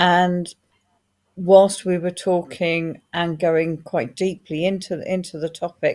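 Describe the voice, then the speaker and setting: A woman with a fairly low pitch talks at a very slow pace in a monotone, flat intonation. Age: 60s. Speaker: author and former people manager. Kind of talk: panel discussion. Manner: halting, many false starts.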